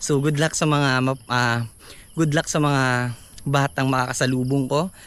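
His fairly high pitch holds to fairly even intonation as this man speaks. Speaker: vlogger and street vendor. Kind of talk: casual vlog talk to camera. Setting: outdoors, walking in the neighborhood. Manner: hesitant, many fillers.

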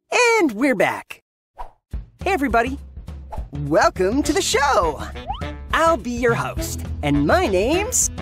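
A man's cartoonish character voice over faint music in the background. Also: fairly slow pace. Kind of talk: cartoon character narration. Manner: upbeat.

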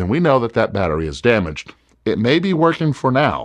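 Over a quiet background, the speaker uses vocal fry and very wide pitch swings at a fairly quick pace. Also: man. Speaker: presenter. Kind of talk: tutorial.

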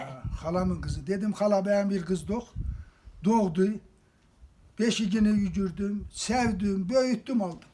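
With an eastern Anatolian accent, a man speaks in a high voice at a very slow pace, with long, frequent pauses. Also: ordinary pitch variation. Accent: eastern Anatolian Turkish (Kars). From Kars, eastern Turkey. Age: 80s+. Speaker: villager. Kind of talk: interview answer.

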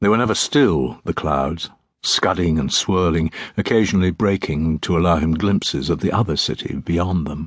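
A man speaks at a very deep, low pitch with vocal fry and a dramatic tone. His moderate pace and ordinary pitch variation sit over a quiet background. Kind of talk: audiobook narration of a dark fantasy novel, read aloud. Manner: measured, brooding storytelling pace with dramatic pauses.

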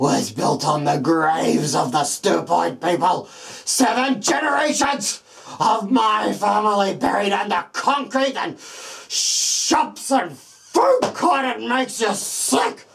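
This is a put-on character voice with a fairly high pitch. It moves at a fairly slow pace. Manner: ranting, furious, hateful.

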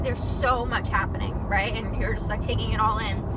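A woman's voice comes through loud background noise. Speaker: vlogger. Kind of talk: casual vlog chat. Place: car. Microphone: phone near.

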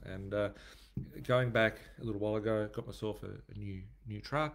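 A man speaks with a fairly low pitch and ordinary pitch variation. His pace is moderate. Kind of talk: casual vlog chat. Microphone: webcam.

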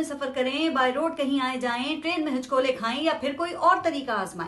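Her voice is raised and projected, with lively intonation. The woman speaks at a fairly slow pace. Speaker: political commentator. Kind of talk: commentary. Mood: sarcastic, critical. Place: home room. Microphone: lapel.

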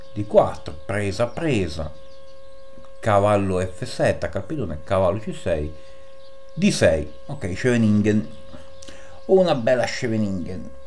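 Very slow pace with long, frequent pauses, very wide pitch swings and light background noise. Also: man, fairly low pitch for a man. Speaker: chess YouTuber. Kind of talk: chess game commentary. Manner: animated. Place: home room. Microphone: voice slightly quieter after mic settings change; webcam.

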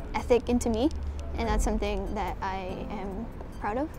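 A woman speaks at a moderate pace, with music in the background. The sound is dry, with no echo. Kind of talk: interview answer. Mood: calm, reflective. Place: cafe. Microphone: lapel.

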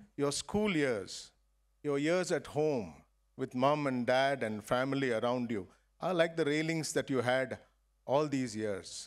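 A man at a fairly slow pace, with ordinary pitch variation, over a quiet background. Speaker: guest. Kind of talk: graduation speech. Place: stage. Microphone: podium.

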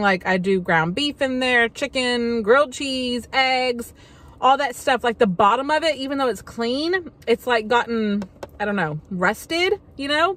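Her pitch is high and her pace fairly slow. The woman's voice sounds dry, with no echo. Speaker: haul vlogger. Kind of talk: casual vlog chat. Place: car.

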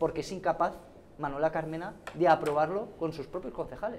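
A man speaks over light background noise. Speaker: politician. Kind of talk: heated debate. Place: studio. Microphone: lapel.

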